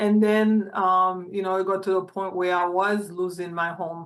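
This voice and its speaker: The woman's intonation is monotone and flat. She keeps a moderate pace. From Haiti. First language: not English. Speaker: housing advocate and community organizer. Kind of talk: interview testimony. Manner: halting.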